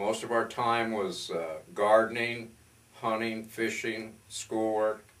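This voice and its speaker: A man with a medium-pitched voice talks at a very slow pace over noticeable background noise. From northern Pennsylvania. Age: 60s. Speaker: businessman and photographer. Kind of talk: interview.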